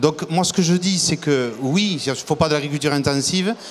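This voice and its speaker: With a southwestern French accent, a man speaks at a fairly quick pace and a fairly high pitch. Noticeable background noise is present. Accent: south-western French. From south-west France, Lot-et-Garonne. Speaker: agricultural business leader. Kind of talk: TV debate. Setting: TV set at an agricultural fair. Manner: halting, repeats words.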